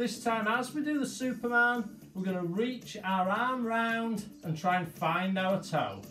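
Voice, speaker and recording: A man speaks at a high pitch and a moderate pace, with ordinary pitch variation. Faint music plays in the background. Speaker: fitness instructor. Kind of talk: exercise class instruction. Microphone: camera far.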